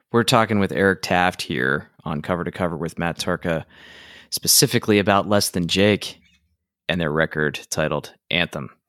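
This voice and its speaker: A man with a very deep, low pitch and vocal fry speaks at a moderate pace, with ordinary pitch variation. The recording is very clean with a silent background, and the sound is dry and close with no echo. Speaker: podcast host and songwriter. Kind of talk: casual interview; scripted outro.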